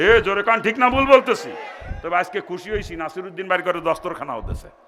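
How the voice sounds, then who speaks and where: The voice is raised and projected, with an animated tone and ordinary pitch variation. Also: man. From Bangladesh, greater Jessore (Narail). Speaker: Islamic preacher. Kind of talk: sermon.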